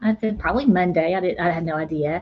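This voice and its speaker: Fairly quick speech from a woman, medium in pitch, its pitch varying in an ordinary way. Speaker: livestream host, homesteading channel. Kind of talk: casual livestream chat. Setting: live video stream. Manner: fast; animated.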